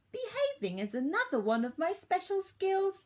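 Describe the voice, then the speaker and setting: This woman uses a put-on character voice that is squeaky and extremely high-pitched. She speaks at a moderate pace. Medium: read story. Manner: bragging, excitable.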